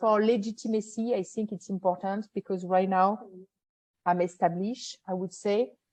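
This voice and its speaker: A woman speaks with a French accent in a dark, mellow tone. Her intonation stays fairly even. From France. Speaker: event producer, business owner. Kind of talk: interview answer.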